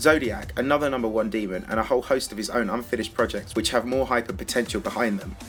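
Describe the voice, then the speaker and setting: Over music in the background, a man talks at a very fast pace with hardly any pauses, using a medium pitch and ordinary pitch variation. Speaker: gaming documentary narrator. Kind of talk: video game documentary narration. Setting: lower-quality microphone recording.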